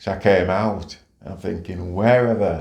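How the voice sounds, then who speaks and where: A somewhat breathy man speaks with fairly even intonation. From St Kitts, moved to UK at 7. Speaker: retired police officer, community leader. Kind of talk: life story interview answer.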